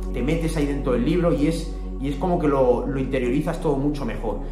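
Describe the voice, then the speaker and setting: With clear music in the background, a man speaks at a fairly quick pace. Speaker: self-improvement content creator. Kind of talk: casual talk to camera. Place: home room. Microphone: phone near.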